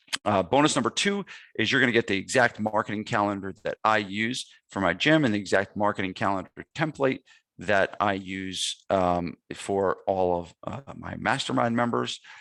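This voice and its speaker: A man with a New Jersey accent and a fairly low, bright, sharp voice, lively intonation, a moderate pace, and dry, close sound with no echo. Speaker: gym owner and fitness business marketing coach. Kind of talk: webinar sales pitch. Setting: webinar. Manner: casual, with many fillers.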